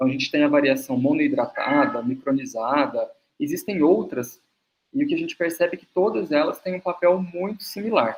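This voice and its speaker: Very wide pitch swings at a fairly quick pace. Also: man. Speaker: nutritionist and university lecturer. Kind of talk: webinar lecture.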